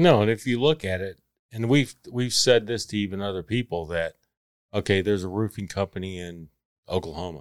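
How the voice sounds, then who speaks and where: With a Texan accent, a man speaks at a fairly quick pace with ordinary pitch variation, in a dry, close sound with no echo and a very clean recording against a silent background. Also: fairly low pitch for a man. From Texas. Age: 30s. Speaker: construction worker. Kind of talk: casual chat.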